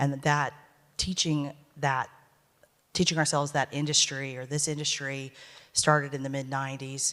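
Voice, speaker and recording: A woman with a very deep, low pitch, monotone, flat intonation, a moderate pace and long, frequent pauses, in a very clean recording with a silent background. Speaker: talent agency executive. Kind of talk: panel discussion.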